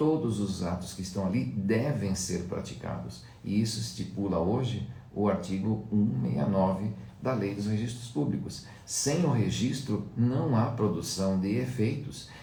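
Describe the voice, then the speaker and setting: A man speaks at a moderate pace with a fairly low pitch. Audible room echo surrounds his voice. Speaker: law lecturer. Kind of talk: lecture. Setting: live stream.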